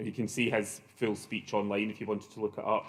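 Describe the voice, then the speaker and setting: A man in a Glaswegian accent talks very fast at a medium pitch. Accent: Glaswegian Scottish. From Scotland, Glasgow. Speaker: professor. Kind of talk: conference opening remarks. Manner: hesitant, many fillers.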